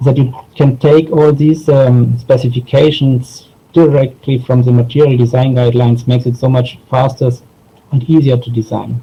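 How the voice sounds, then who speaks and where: Monotone and flat, a man with a medium pitch and a dark, mellow tone talks at a moderate pace, sounding somewhat breathy. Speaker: software designer. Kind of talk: conference talk. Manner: halting, many fillers.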